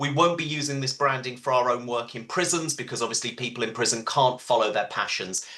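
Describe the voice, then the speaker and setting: A man speaks at a very fast pace. His fairly high voice has a bright, sharp tone. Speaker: charity campaign manager. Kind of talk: webinar presentation. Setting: video call.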